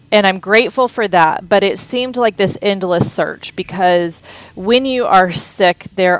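A woman with an unremarkable speaking voice and an American accent talks at a fairly slow pace, her medium pitch showing ordinary pitch variation. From Texas, Houston. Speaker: cookbook author and food business founder. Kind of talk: casual interview.

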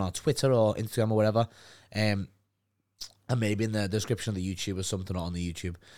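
Talking at a very fast pace, a man with a Liverpool accent sounds animated. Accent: Scouse (Liverpool). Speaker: podcast co-host. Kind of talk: casual banter between co-hosts. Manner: animated, swears a lot.

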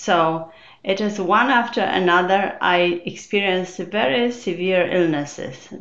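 A woman with a Polish accent talks at a fairly slow pace. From Poland. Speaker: neuroscientist and memoir author. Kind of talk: interview.

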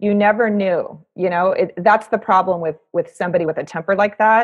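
A woman with a normal speaking voice talks at a moderate pace in a medium pitch with fairly even intonation. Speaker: guest. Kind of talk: casual chat.

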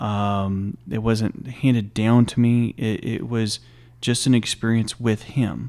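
In a Texan accent, a man speaks at a very slow pace. His tone is dark and mellow, and his intonation fairly even. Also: medium pitch for a man, very clean recording, silent background. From small-town Texas. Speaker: former army chaplain. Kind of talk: casual interview.

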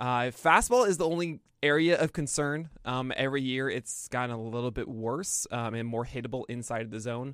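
Speaking with an American accent, a man with a normal speaking voice talks at a moderate pace and medium pitch, with ordinary pitch variation, hardly any pauses, and a very clean recording with a silent background. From New York City, Brooklyn. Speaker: baseball pitching analyst. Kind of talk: casual interview.

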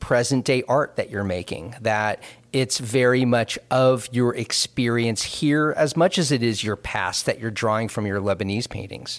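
A man has an ordinary speaking voice at a medium pitch. He talks at a moderate pace with ordinary pitch variation. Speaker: podcast host. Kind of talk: interview.

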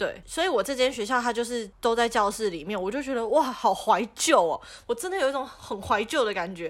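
Speaking with a Taiwanese accent, a woman uses lively intonation at a fairly high pitch, with hardly any pauses. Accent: Taiwanese Mandarin. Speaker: podcast co-host. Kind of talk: casual chat.

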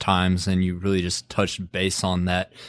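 This man has a fairly low voice. He speaks at a moderate pace. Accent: Texan. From West Texas (Midland). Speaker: podcast host. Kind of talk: casual interview.

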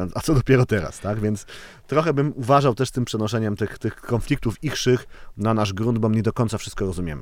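A man speaks at a medium pitch with ordinary pitch variation. His pace is fairly quick, on a very clean recording with a silent background. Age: 30s. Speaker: crime novelist. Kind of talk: casual chat. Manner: halting.

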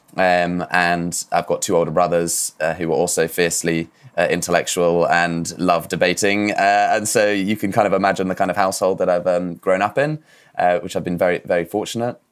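A man's very deep, low voice in a southern English accent, at a fairly quick pace with fairly even intonation. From southwest England, Dorset. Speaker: regenerative finance founder. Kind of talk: interview. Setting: remote call. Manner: halting, many fillers.

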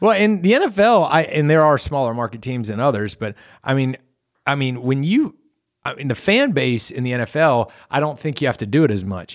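A man with an American accent, fairly high-pitched, his pitch swinging very widely at a fairly quick pace, on a very clean recording with a silent background. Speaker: podcast co-host. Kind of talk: casual chat. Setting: studio.

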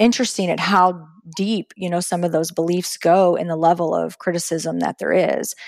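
An unremarkable speaking voice from a woman, fairly low in pitch, at a moderate pace. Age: 30s. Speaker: entrepreneur, retired nurse and Navy veteran. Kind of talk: interview. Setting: video call.

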